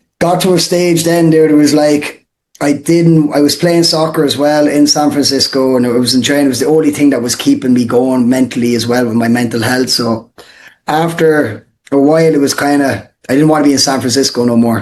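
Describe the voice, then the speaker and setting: A man's fairly high-pitched voice in an Irish accent at a fairly quick pace. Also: fairly even intonation. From Ireland, Portlaw (Co. Waterford). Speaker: real estate wholesaler, former soccer player. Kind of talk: podcast interview. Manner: casual, filler-heavy.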